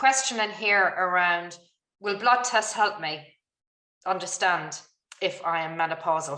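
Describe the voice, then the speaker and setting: Using an Irish accent, a woman speaks at medium pitch in a bright, sharp tone, at a fairly slow pace with ordinary pitch variation and long, frequent pauses. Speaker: webinar moderator, doctor. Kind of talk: webinar Q&A moderation. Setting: online webinar.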